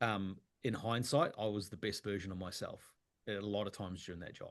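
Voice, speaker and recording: The voice belongs to a man with a New Zealand accent. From New Zealand, Wellington. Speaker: actor. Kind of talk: casual interview chat.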